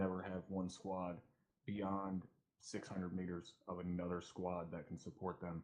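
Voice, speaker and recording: A soft-spoken man talks at a moderate pace. His very deep, low voice stays monotone and flat. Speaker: milsim gamer, first sergeant role. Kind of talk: mission debrief.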